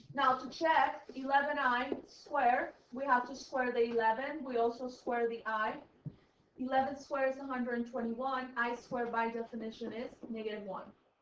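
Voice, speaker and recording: Amid audible room echo, a woman with a high pitch speaks in fairly even intonation, her loudness swinging widely. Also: moderate pace. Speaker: high school math teacher. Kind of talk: classroom lecture.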